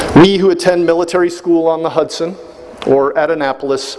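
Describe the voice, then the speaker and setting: A man talks fairly quickly in a fairly high voice while noticeable noise sounds behind him. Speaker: brigadier general, commencement speaker. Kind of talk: commencement address. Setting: large hall with audience and public address.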